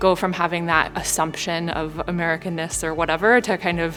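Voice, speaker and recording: With music in the background, a woman speaks at a fairly low pitch in a monotone, flat way. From St. Louis, Missouri, US. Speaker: executive MBA student. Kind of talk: interview answer. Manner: casual, conversational.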